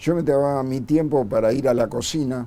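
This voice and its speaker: A man speaks with a Rioplatense accent. His intonation stays fairly even. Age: 60s. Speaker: bombing survivor and former community worker. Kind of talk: testimony.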